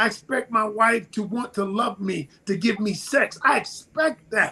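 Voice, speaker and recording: A man speaks in a raised, projected voice with an animated tone. Noticeable background noise runs behind him. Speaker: relationship advice guest on podcast. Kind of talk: podcast discussion. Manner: loud.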